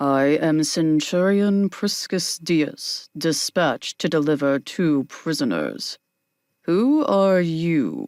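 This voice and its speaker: A man's put-on character voice, high in pitch, at a very slow pace with lively intonation and very even loudness, in a dry, close sound with no echo on a very clean recording with a silent background. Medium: read story. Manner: hard, clipped.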